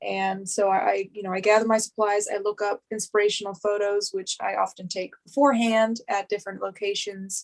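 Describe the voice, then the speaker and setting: At a fairly quick pace, a woman with an American accent speaks at a medium pitch in a monotone, flat intonation. The sound is dry and close, with no echo. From Pittsburgh, Pennsylvania. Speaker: miniature artist. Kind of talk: casual chat. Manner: halting.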